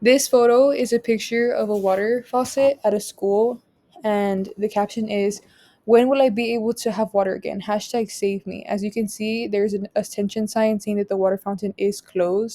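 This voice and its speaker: Her pitch fairly high and her intonation monotone and flat, a woman speaks at a moderate pace in a dry, close sound with no echo. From US-Mexico border region, Rio Grande Valley, Texas. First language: Spanish. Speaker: student. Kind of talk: class presentation.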